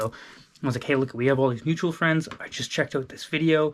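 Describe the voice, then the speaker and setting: A man speaks at a very fast pace and medium pitch with fairly even intonation. The recording is very clean, its background silent. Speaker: sales coach YouTuber. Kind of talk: casual vlog tutorial. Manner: rambling, stuttering; fast casual with filler words.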